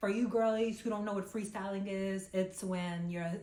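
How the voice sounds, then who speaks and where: Her pitch is medium. The woman's voice carries audible room echo. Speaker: lifestyle vlogger. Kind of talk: casual vlog talk to camera. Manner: animated.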